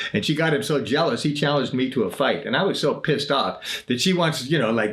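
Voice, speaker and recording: With lively intonation and a fairly high pitch, a man talks fairly quickly while noticeable background noise carries on around him. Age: 70s. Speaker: singer-songwriter and podcaster. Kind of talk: casual storytelling monologue. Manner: halting, with frequent self-corrections.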